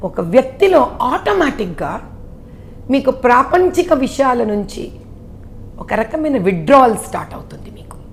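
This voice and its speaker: Over noticeable background noise, a woman with a high pitch speaks with very wide pitch swings and big swings in loudness. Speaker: politician. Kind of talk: interview answer.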